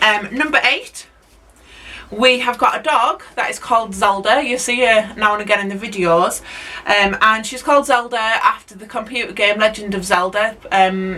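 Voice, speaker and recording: The loudness swings widely. Background noise is clearly audible. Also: woman. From northern England, Hull. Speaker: allotment vlogger and teacher. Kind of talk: casual vlog talk to camera. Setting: outdoors at allotment. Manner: hesitant, many ums.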